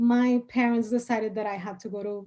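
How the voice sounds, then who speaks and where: Speaking in a Spanish accent, a woman has a fairly high pitch and a dark, mellow tone. Her voice is somewhat breathy and moves at a moderate pace. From Dominican Republic. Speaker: attorney. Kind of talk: interview. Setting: podcast studio.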